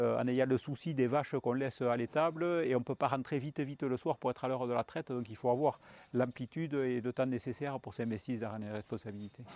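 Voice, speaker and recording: Fairly quick and fairly even in intonation, the speech has a dry, close sound with no echo. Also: man, medium pitch for a man. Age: 50s. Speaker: dairy farmer. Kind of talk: interview. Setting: on his farm. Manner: hesitant with fillers.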